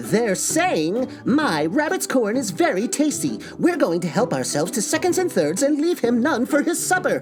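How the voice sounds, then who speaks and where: Over clear background music, a man uses a put-on character voice at an extremely high pitch, with very wide pitch swings and a moderate pace. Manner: irritated.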